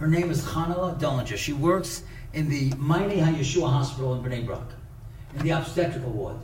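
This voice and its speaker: Someone with an American accent talks at a fairly quick pace with ordinary pitch variation. Noticeable background noise runs underneath. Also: man, fairly high pitch for a man. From Brooklyn, New York. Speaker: rabbi and speaker. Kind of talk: inspirational lecture with stories. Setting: synagogue audience.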